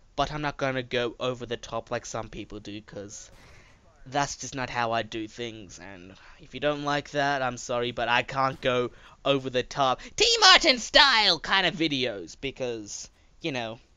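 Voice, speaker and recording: A man's medium-pitched voice at a moderate pace, with ordinary pitch variation and big swings in loudness. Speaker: gaming YouTuber. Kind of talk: gameplay commentary monologue. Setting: home recording. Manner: low-energy.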